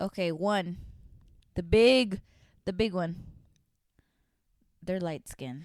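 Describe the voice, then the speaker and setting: A woman with a Spanish accent, medium pitch and ordinary pitch variation, at a very slow pace with long, frequent pauses. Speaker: podcast co-host. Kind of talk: casual chat.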